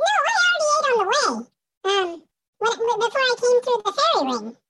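At a moderate pace, a woman uses a squeaky, put-on character voice pitched extremely high. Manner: fast.

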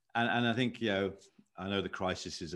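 Speaking very fast, this man has a British accent. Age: 50s. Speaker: leadership consultant. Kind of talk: podcast interview.

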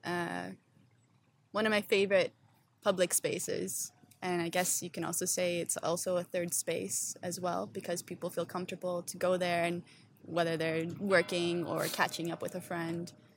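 In a very clean recording with a silent background, a woman with a plain, everyday voice speaks at a moderate pace with fairly even intonation. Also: fairly low pitch for a woman. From Ontario, Canada. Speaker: urban placemaking entrepreneur. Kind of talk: casual interview. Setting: outdoors on a public bench.

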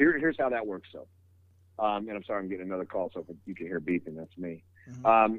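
This is a man speaking. He has an American accent. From US West Coast, San Francisco Bay Area. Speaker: mortgage loan officer. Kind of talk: casual interview. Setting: phone call.

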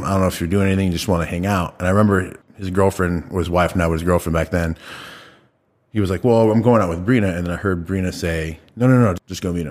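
A man's very deep, low voice at a very fast pace on a very clean recording with a silent background. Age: 30s. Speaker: barber. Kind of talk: casual chat.

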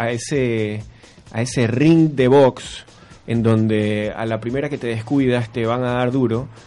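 This man has an ordinary speaking voice at a medium pitch. He talks at a fairly slow pace with fairly even intonation. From Ecuador, Guayaquil. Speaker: edtech startup founder. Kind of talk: radio interview.

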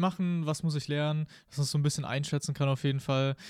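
A man in a flat monotone at a very fast pace, on a very clean recording with a silent background. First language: Spanish as second native language (speaking German). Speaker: podcast host. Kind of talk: casual interview.

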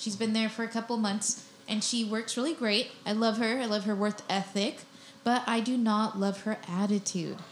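An ordinary speaking voice from a woman, with very even loudness, fairly even intonation and a moderate pace. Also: fairly high pitch for a woman. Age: 20s. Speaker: comedian and podcast co-host. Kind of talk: casual chat. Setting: studio.

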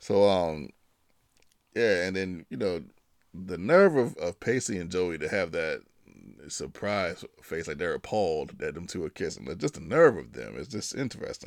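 A man's very deep, low voice with vocal fry, at a moderate pace with big swings in loudness, in a very clean recording with a silent background. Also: lively intonation. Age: 40s. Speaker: podcast host. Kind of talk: casual solo talk. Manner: halting, many fillers.

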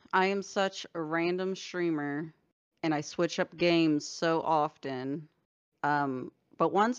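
A woman speaks at a fairly slow pace in a plain, everyday voice. Her pitch is fairly low, with ordinary variation. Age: 30s. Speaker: streamer. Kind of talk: casual chat.

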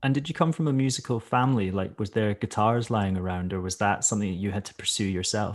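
In a Scottish accent, a man with a fairly low pitch talks at a very fast pace with ordinary pitch variation. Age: 30s. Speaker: podcast host. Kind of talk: interview conversation; scripted podcast intro and outro.

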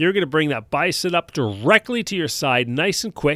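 The recording is very clean, with a silent background and a dry, close sound with no echo. A man speaks in a bright, sharp tone with very wide pitch swings. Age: 40s. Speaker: fitness coach and gym owner. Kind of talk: casual solo podcast talk.

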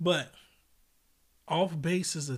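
This man has a somewhat breathy voice with an American accent. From United States. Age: 30s. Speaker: podcast host. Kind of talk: casual chat. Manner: animated.

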